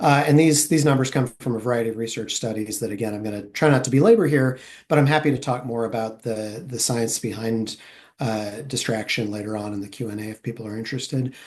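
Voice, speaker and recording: Speaking at a very fast pace, a man with a medium pitch shows ordinary pitch variation and big swings in loudness against a quiet background. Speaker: traffic safety researcher. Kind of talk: webinar presentation. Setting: online webinar. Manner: fairly fast; hesitant with fillers and restarts.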